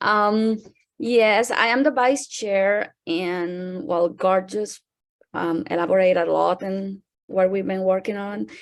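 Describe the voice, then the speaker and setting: The recording is very clean with a silent background as a woman speaks at a very slow pace and medium pitch with ordinary pitch variation. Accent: non-native. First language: not English. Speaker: student council vice chair. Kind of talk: presentation.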